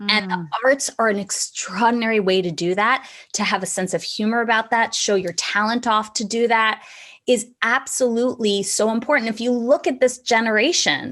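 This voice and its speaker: A woman with an American accent speaks at a moderate pace in a fairly high pitch, with ordinary pitch variation. It is an unremarkable speaking voice. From Philadelphia. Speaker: actor, comedian, voiceover artist, theater teaching artist. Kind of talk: interview answer.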